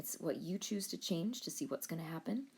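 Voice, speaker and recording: A woman talks at a fairly quick pace with vocal fry. Her intonation is lively. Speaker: high school biology teacher. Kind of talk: tutorial.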